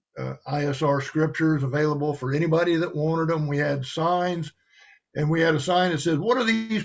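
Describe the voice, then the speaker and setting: Fairly high in pitch and somewhat breathy, a man with an American accent speaks at a moderate pace with fairly even intonation. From US South, Cajun south Louisiana. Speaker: religious guest. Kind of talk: testimony.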